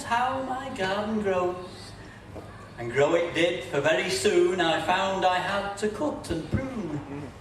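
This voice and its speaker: Over noticeable background noise, a man speaks very slowly in a high pitch with lively intonation. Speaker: poet. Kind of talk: comic poetry reading. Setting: live folk festival performance.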